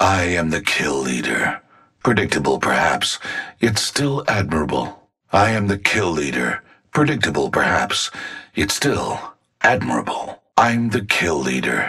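A man's put-on character voice, extremely low-pitched, with vocal fry, a husky, rough edge and a bright, sharp tone, big pitch swings, a fairly slow pace and long, frequent pauses

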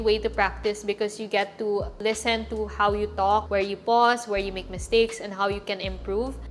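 Over music in the background, a woman with a fairly high pitch talks at a moderate pace in a monotone, flat delivery. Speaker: lifestyle and travel vlogger. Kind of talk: casual, instructional vlog. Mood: calm, friendly. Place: home room.

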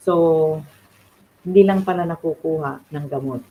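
A woman with a Filipino accent speaks in a very deep, low voice. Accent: Filipino (Tagalog). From Philippines. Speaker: beautician and faith livestreamer. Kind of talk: devotional livestream talk. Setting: livestream from home. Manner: halting, many fillers.

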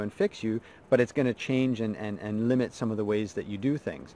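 A man talks at a very fast clip. The sound is dry with no echo, over light background noise. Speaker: mindset coach. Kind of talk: motivational talk to camera. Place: forest. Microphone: phone near.

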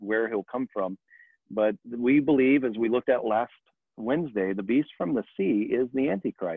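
A man at a moderate pace with ordinary pitch variation, in a dry sound with no echo against a quiet background. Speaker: church teacher. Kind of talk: Bible study lecture. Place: home room. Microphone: webcam.

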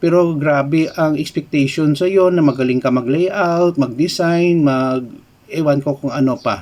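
Here is a man with a normal speaking voice and a fairly high pitch. He speaks at a fairly slow pace with ordinary pitch variation. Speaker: YouTuber and IT lecturer. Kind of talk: educational vlog commentary. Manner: casual, conversational Taglish.

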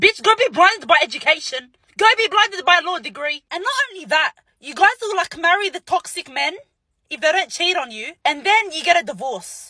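A woman's raised, projected voice, dry with no echo, against a quiet background. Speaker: social media creator. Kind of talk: casual vlog rant. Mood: sassy, exasperated. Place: car. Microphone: phone near.

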